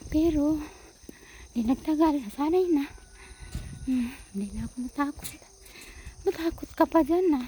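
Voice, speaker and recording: A woman whispers with long, frequent pauses over noticeable background noise. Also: moderate pace. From Philippines. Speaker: vlogger. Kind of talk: casual vlog narration. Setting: outdoors walking in rice fields. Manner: almost whispering.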